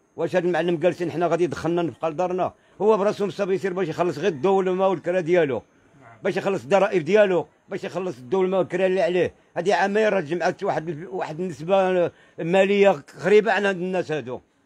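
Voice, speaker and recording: A man talks at a very fast pace with a high pitch. His pitch variation is ordinary. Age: 60s. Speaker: unemployed craft worker; interviewee. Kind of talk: street interview testimony. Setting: outdoors in the old city. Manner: animated. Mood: upset, complaining. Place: street. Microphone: handheld.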